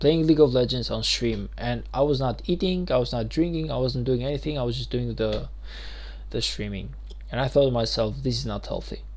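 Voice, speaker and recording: A man talks at a fairly quick pace with a non-native accent. Audible room echo surrounds his voice. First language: not English. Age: 20s. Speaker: gaming streamer. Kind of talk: live stream gaming commentary. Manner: casual, occasionally halting.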